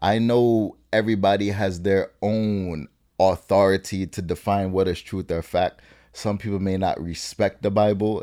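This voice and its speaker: His voice is dark and mellow with a fairly low pitch. The man speaks fairly slowly in a flat monotone. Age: 30s. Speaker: minister. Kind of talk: interview.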